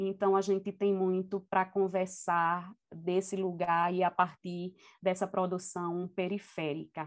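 A woman reads at a fairly slow pace and medium pitch, monotone and flat, with very even loudness in a very clean recording with a silent background. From Brazil, Recife (north zone). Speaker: university professor and researcher. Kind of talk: interview conversation.

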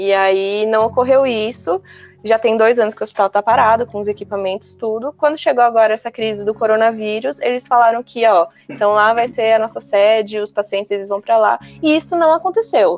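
This woman has a plain, everyday voice pitched fairly high. Her pitch variation is ordinary. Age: 20s. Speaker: environmental management graduate. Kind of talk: casual chat.

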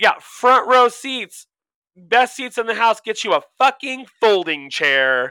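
With an animated, bright and sharp tone, a man speaks fairly slowly in a raised, projected voice at an extremely high pitch, his intonation lively and the sound dry and close with no echo. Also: very clean recording, silent background. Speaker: podcast co-host. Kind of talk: casual chat.

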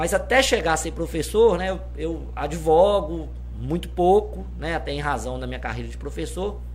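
Big swings in loudness mark a man's moderate-paced speech, heard with audible room echo and noticeable background noise. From Minas Gerais, Brazil (Governador Valadares). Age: 30s. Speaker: university law professor and city councillor. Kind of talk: casual interview.

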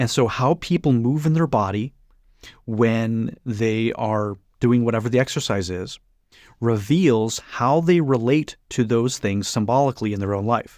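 A man talks in a normal speaking voice at medium pitch with ordinary pitch variation and a fairly slow pace, on a very clean recording with a silent background. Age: 30s. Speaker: author and spiritual teacher. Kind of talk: interview conversation.

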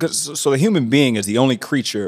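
A man with an American accent talks at a fairly quick pace in a plain, everyday voice, with ordinary pitch variation and a dry, close sound with no echo. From Indianapolis, US Midwest. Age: 30s. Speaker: mindset coach. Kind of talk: casual chat.

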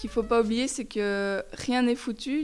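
In a very clean recording with a silent background, a woman speaks at a fairly slow pace with fairly even intonation and a plain, everyday voice. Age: 20s. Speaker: student climate activist. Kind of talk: interview testimony.

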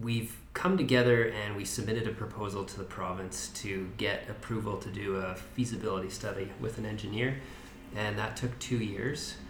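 A man with a Canadian accent speaks at a moderate pace and fairly low pitch with fairly even intonation, amid audible room echo and noticeable background noise. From Kootenays, British Columbia. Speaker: community volunteer on tunnel restoration. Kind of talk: podcast interview.

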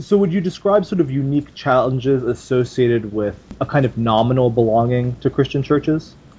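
A somewhat breathy, medium-pitched male voice, fairly quick with hardly any pauses and ordinary pitch variation. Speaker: podcast host. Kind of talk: casual interview conversation.

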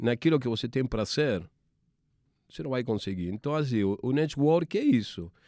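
A man's dark, mellow voice at a medium pitch, lively in intonation, with an Argentine accent, in a very clean recording over a silent background. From Argentina. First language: Spanish (speaking Portuguese). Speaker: sports TV producer. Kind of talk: interview. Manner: halting, many repetitions.

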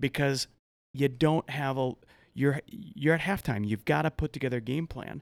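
Recorded dry and close with no echo against a silent background in a very clean recording, a man with an American accent and an unremarkable speaking voice talks at a moderate pace with a fairly high pitch and ordinary pitch variation. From US Midwest, farm and ranch family. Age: 40s. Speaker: author and men's life coach. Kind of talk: casual interview.

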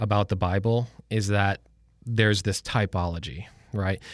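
An unremarkable speaking voice from a man with an American accent, fairly low in pitch, at a moderate pace with ordinary pitch variation, in a very clean recording with a silent background. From Michigan, suburb of Detroit. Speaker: church staff member. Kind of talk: casual Bible discussion.

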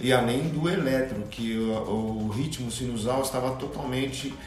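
Amid audible room echo and noticeable background noise, a man speaks at a medium pitch with ordinary pitch variation. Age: 50s. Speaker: health worker, heart attack survivor. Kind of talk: interview testimony.

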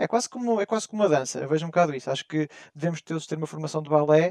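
A man talks at a very fast pace in a fairly high pitch with ordinary pitch variation. The sound is dry and close, with no echo. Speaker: podcast co-host. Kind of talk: casual chat.

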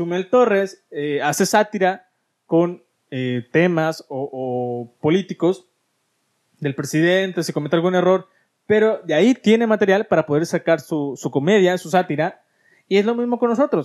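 This man speaks at a high pitch with lively intonation and an animated tone. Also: fairly slow pace. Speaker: podcast host. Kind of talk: casual chat. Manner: stutters at times.

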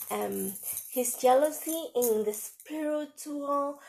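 A woman with a Spanish accent at a very slow pace, on a very clean recording with a silent background. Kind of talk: devotional talk with reading aloud. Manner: halting.

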